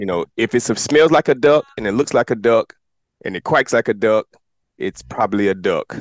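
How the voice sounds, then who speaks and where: Recorded with a dry, close sound and no echo, a man talks at a medium pitch. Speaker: podcast host. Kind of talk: casual show hosting. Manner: fast; animated.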